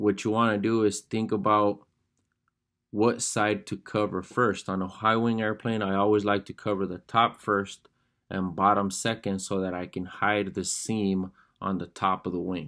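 A man with a fairly low pitch speaks at a moderate pace in a flat monotone. The background is quiet. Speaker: fabric covering instructor. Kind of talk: tutorial. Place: workshop. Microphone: phone near.

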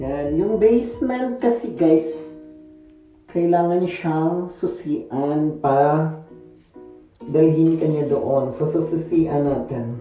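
With faint music in the background and audible room echo, a man speaks at a very slow pace. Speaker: vlogger. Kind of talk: casual vlog chat. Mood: cheerful, smiling. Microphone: phone near.

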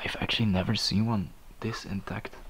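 A man's monotone, flat delivery at a moderate pace, over light background noise. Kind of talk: casual vlog commentary. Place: hall. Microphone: phone near.

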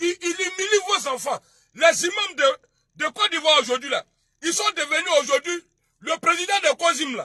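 This man's pitch is extremely high, with a bright, sharp tone. He speaks at a moderate pace in a dry, close sound with no echo.

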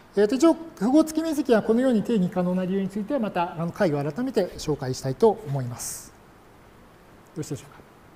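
The man's voice is high, racing at a very fast pace. It shows very wide pitch swings and big swings in loudness. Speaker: university lecturer. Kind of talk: lecture. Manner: many filler words.

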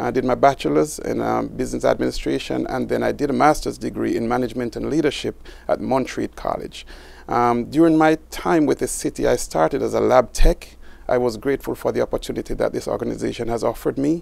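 A man at a very fast pace, with a dry sound and no echo. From Jamaica. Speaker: city water resources director; guest. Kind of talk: interview. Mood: warm, friendly. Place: studio. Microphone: lapel.

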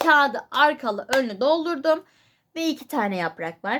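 On a very clean recording with a silent background, a woman speaks at a fairly slow pace with lively intonation. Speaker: YouTuber. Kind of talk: casual vlog talk.

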